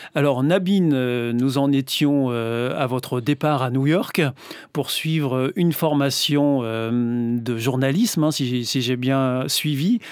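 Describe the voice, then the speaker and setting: A man at medium pitch and a very slow pace, with ordinary pitch variation and very even loudness. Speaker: radio host interviewer. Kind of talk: interview. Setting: studio.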